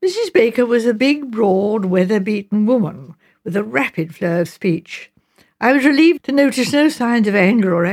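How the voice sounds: A quiet background behind a natural reading voice of lively intonation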